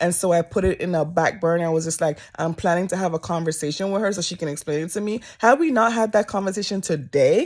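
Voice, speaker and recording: A woman with a fairly low pitch and an animated tone speaks at a very fast pace with hardly any pauses and ordinary pitch variation, on a very clean recording with a silent background. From Jamaica. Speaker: vlogger. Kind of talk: casual vlog storytelling.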